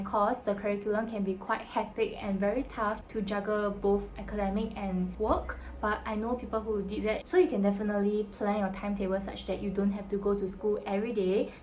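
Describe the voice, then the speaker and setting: A woman with a Singaporean accent speaks at a fairly quick pace, her medium-pitched voice monotone and flat in intonation. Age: 20s. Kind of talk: casual talk to camera.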